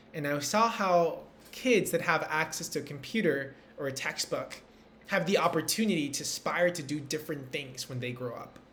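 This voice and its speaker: With a Spanish accent, a man talks at a moderate pace in a fairly high voice with ordinary pitch variation. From Peru. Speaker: entrepreneur and speaker. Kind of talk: recorded motivational talk.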